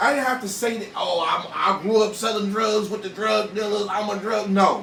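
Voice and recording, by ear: A man's high-pitched voice with vocal fry, a fairly bright tone, moderate pace, ordinary pitch variation and audible room echo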